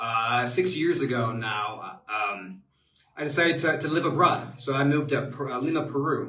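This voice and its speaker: Lively intonation marks this speech in an American accent. The pace is moderate. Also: man, fairly high pitch for a man. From US Midwest, Cincinnati, Ohio. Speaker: expat advisor, webinar host. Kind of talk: live webinar Q&A. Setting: live online webinar from home. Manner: many filler words, halting.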